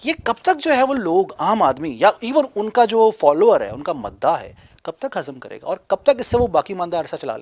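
A man talks at a moderate pace with hardly any pauses, his loudness swinging widely. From Pakistan. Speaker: TV talk show host. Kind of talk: political TV interview. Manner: formal. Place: home room. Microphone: lapel.

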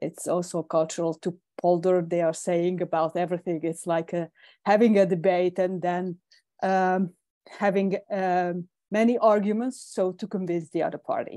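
A woman speaks with a dark, mellow tone and fairly even intonation. The sound is dry with no echo over a quiet background. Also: medium pitch for a woman, moderate pace. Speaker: webinar moderator. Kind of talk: casual chat. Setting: video call. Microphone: video call.

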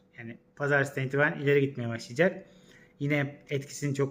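A man talks fairly quickly in a fairly high pitch. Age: 40s. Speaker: astrologer. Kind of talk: casual vlog monologue. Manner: hesitant, many fillers.

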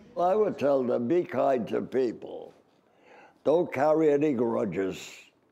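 A man with a New York accent speaks at a fairly slow pace, his loudness very even throughout. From US Northeast, Brooklyn, New York. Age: 80s+. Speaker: comedian and navy veteran. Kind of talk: interview storytelling. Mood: lively, storytelling. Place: hall. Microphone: lapel.

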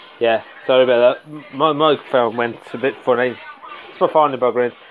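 A man is talking, and faint music can be heard in the background. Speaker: amateur internet radio host. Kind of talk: casual radio presenter chat.

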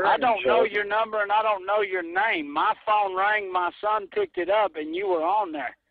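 A man with a Southern US accent speaks in an angry tone at a high pitch, barely pausing, in a dry recording with no echo. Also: ordinary pitch variation, moderate pace. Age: 40s. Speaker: call recipient. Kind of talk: angry phone conversation. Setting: phone. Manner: angry, threatening. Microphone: phone line.

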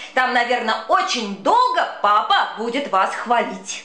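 A woman's high, raised and projected voice at a fairly slow pace, with very wide pitch swings, amid noticeable background noise. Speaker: actress. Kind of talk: humorous children's poetry reading.

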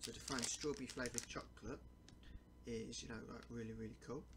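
Very fast male speech against loud background noise. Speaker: food reviewer. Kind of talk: casual vlog chat. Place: home room. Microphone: webcam.

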